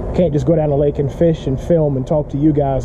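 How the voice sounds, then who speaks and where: The man speaks in a monotone with flat intonation, at a fairly quick pace. Background noise is noticeable. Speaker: fishing vlogger. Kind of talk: casual vlog chat. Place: garden. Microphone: phone near.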